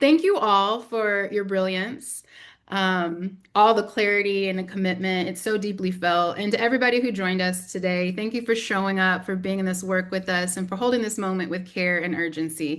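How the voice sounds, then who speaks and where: In a Southern US accent, the speaker talks with fairly even intonation and hardly any pauses. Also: woman, medium pitch for a woman. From US South. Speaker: community organizer, briefing moderator. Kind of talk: webinar moderation. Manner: fast.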